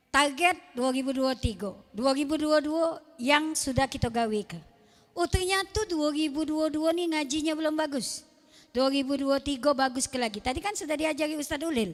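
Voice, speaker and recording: A woman with a Palembang accent, high in pitch, with long, frequent pauses. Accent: Palembang Malay-accented Indonesian. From Palembang, South Sumatra, Indonesia. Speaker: Islamic preacher. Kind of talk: sermon. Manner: animated.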